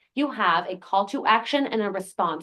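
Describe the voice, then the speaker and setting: A woman with a New Jersey accent talks at a fairly quick pace, her fairly high pitch carried by lively intonation. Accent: American, New Jersey. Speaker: lawyer and activist. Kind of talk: panel talk. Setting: conference meeting with in-person and online audience.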